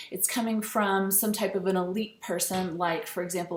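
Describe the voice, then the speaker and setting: Audible room echo around a woman's medium-pitched voice, with fairly even intonation at a moderate pace. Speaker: teacher. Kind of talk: lecture. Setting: screencast recording. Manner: hesitant, many fillers.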